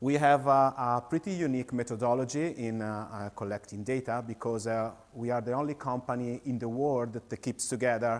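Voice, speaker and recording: Speaking with an Italian accent, a man keeps a moderate pace, a medium pitch, and fairly even intonation. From Italy. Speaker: company founder and CEO. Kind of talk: conference presentation. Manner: halting, many fillers.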